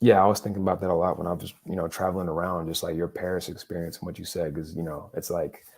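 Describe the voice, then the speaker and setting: With an American accent, a man speaks very fast in a very deep, low voice, his intonation monotone and flat and his speech hardly pausing. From United States. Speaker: sports podcast host. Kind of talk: casual chat. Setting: livestream podcast. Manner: halting, many fillers.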